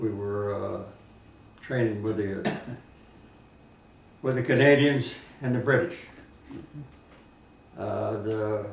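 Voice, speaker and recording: Man with an American accent, medium pitch and fairly even intonation, speaking at a very slow pace amid audible room echo and noticeable background noise. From southern Indiana, US. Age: 90s. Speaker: war veteran. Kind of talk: oral history interview.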